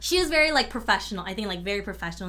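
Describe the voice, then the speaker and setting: A woman with a Californian accent talks in a space with audible room echo. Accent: Californian casual. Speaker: engineer and co-founder. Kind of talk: casual chat. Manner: casual, many fillers.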